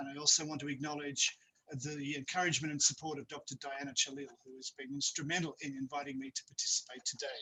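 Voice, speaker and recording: A man with an Australian accent speaks at a very fast pace and fairly high pitch, his intonation monotone and flat while his loudness swings widely. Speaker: university academic presenter. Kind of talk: webinar presentation. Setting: video call. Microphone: too quiet at first.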